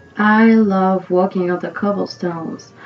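Music plays in the background. The intonation stays fairly even. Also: woman. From France, near Paris. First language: French. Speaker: podcast host. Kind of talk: scripted narration.

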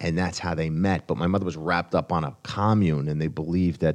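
A man with an American accent speaks at a fairly quick pace in a very deep, low pitch and monotone, flat intonation, against a quiet background. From New Jersey. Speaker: stand-up comedian. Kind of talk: casual interview chat.

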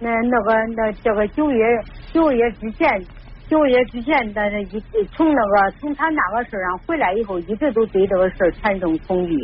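This woman talks at a moderate pace. Her pitch sits fairly high. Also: lively intonation. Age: 50s. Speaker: radio call-in caller. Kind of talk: call-in counseling conversation. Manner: halting, repetitive.

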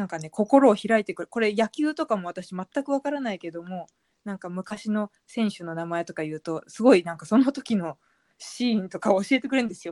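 A woman's ordinary speaking voice, fairly quick and lively in intonation, with big swings in loudness and a dry, close sound with no echo. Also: medium pitch for a woman. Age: 30s. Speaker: blogger and author. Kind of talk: casual chat.

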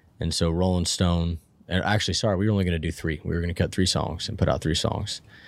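Very fast and very deep, a man with an American accent keeps his intonation fairly even. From Northern California (Plumas County). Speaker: country singer-songwriter. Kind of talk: casual chat.

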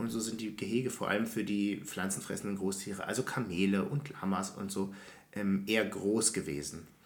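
A man talks at a fairly low pitch. Audible room echo surrounds his voice. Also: ordinary pitch variation, moderate pace. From Berlin, Germany. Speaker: podcast co-host. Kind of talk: casual chat.

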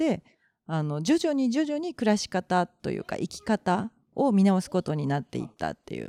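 Dark, mellow female voice with very wide pitch swings at a moderate pace, dry and close with no echo, very clean, silent background. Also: medium pitch for a woman. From Japan, Kobe (Kansai). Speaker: podcast co-host, share house owner. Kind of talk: casual chat.

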